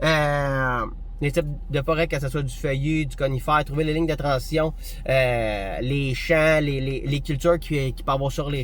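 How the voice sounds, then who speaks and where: A man speaks with a Quebec accent. Room echo is audible. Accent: Québécois French. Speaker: hunting vlogger. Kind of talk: casual tutorial monologue. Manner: fast; animated.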